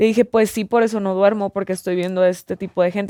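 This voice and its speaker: The woman's monotone, flat delivery comes across in a dry, close sound with no echo. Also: very clean recording, silent background. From Mexico, Mazatlán (Sinaloa). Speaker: content creator. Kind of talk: casual chat.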